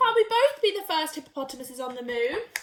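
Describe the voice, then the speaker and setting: Putting on a character voice, a woman talks very fast in an extremely high, squeaky pitch, with very wide pitch swings and big swings in loudness. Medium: read story.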